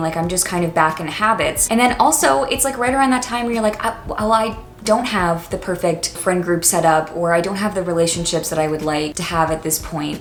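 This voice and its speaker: Noticeable background noise runs under a woman speaking with an American accent at a medium pitch. She talks at a fairly quick pace with hardly any pauses and ordinary pitch variation. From Washington, D.C. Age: 20s. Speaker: college student and YouTuber. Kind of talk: casual talk to camera.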